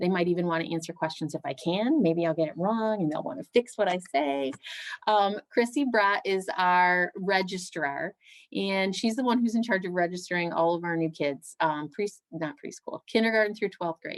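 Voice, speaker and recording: A woman with a medium-pitched voice talks at a moderate pace in a plain, everyday voice. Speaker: school principal. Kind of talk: presentation to parents. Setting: video call.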